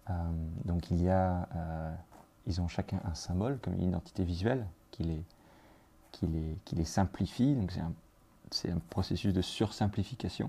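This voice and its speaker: With a very deep, low pitch and a dark, mellow, somewhat breathy tone, a man talks at a moderate pace with ordinary pitch variation and long, frequent pauses. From France, Brittany. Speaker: artist. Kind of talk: guided studio tour. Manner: halting, many fillers.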